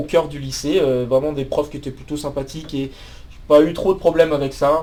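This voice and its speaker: A man speaks at a fairly quick pace in a fairly high pitch. His tone is dark and mellow, his intonation monotone and flat. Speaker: math PhD student and YouTuber. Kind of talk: personal life story. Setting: office. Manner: hesitant, many fillers and repetitions.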